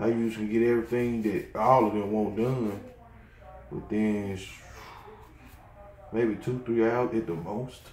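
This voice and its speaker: Audible room echo and light background noise surround a fairly slow voice with fairly even intonation and long, frequent pauses. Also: man. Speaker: hobbyist vlogger. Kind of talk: casual vlog chat. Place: home room. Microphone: phone near.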